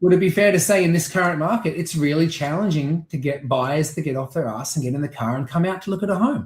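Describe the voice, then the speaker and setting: A man with an Australian accent talks at a very fast pace, his pitch fairly high for a man. He barely pauses, and his pitch rises and falls in an ordinary way. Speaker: real estate auctioneer. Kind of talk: interview. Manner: animated.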